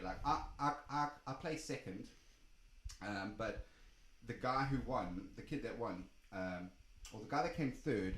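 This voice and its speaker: Speaking at a moderate pace, a man with a medium pitch has a somewhat breathy voice and lively intonation. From South Africa. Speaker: DJ. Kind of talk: casual interview chat. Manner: animated storytelling.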